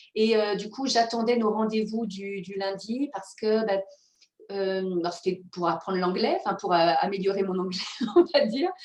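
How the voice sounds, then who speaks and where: Pitch variation stays ordinary as a woman, using a normal speaking voice, talks at a moderate speed and medium pitch. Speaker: mindfulness coach and author. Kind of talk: interview conversation.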